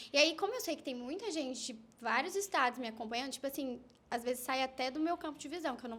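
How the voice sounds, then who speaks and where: Talking at a very fast pace, a woman's high-pitched voice makes very wide pitch swings. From Minas Gerais, Brazil (Campos Gerais). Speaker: influencer. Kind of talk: casual chat.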